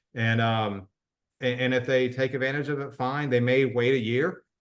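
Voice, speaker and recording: An ordinary speaking voice, fairly quick, with fairly even intonation. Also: man. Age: 60s. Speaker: wellness product promoter. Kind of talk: interview testimony.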